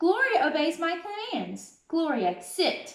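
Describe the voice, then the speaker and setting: A squeaky, put-on character voice speaks at a fairly slow pace with slight echo. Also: woman, extremely high pitch for a woman. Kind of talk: bedtime story. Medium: read story.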